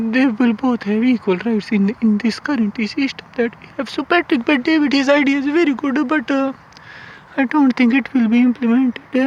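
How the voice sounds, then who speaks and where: At a moderate pace, the voice is heard against noticeable background noise. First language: not English. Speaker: YouTuber commentator. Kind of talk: casual monologue vlog. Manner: halting, many fillers.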